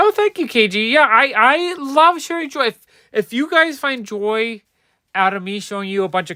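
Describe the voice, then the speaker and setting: Raised and projected, a man's bright, sharp voice carries an animated tone and lively intonation with an American accent, moving at a moderate pace in a very clean recording with a silent background. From New Jersey, US. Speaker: comic book collector streamer. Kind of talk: livestream commentary. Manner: casual, animated.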